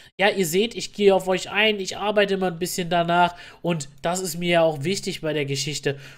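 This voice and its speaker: A man with a high pitch speaks in fairly even intonation on a very clean recording with a silent background. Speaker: gaming YouTuber. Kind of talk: tutorial. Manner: fast.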